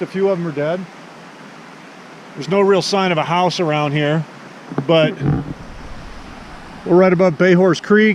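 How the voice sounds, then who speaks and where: A man speaks in a high voice while noticeable background noise carries on. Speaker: outdoor vlogger. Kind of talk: casual vlog narration. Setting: outdoors.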